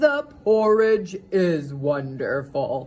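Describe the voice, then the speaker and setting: This put-on character voice sits at a middle pitch and swings very widely in pitch. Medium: read story.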